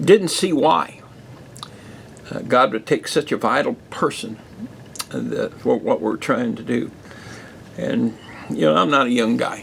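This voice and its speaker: Long, frequent pauses break up this man's speech over noticeable background noise. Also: fairly slow pace. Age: 70s. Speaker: pastor. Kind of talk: podcast monologue. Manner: halting.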